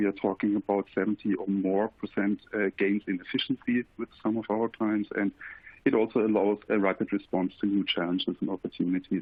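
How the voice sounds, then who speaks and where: Moving at a fairly quick pace, a man with a German accent speaks in a fairly low voice. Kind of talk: webinar presentation. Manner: halting, with fillers.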